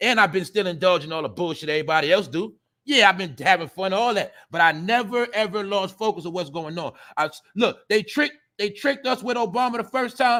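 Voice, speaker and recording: A man speaks at a very fast pace in a raised, projected voice with high pitch. His tone is bright and sharp, and his intonation is lively. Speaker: livestream commentary host. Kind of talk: casual livestream commentary. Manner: animated; loud.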